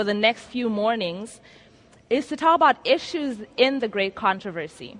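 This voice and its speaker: Over noticeable background noise, a woman with an American accent speaks high and with lively intonation. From Zimbabwe. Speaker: preacher. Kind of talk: sermon. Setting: stage with audience at a conference.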